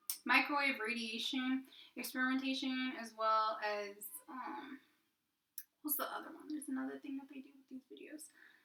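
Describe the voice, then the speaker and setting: In an American accent, a woman projects a raised, high-pitched voice with a bright, sharp tone. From California. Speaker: vlogger. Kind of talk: casual monologue. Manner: halting.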